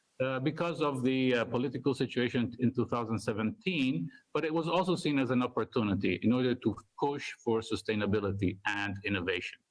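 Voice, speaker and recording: At a fairly quick pace, a man speaks at medium pitch with ordinary pitch variation and very even loudness. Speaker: university researcher. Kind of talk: conference talk. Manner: fast.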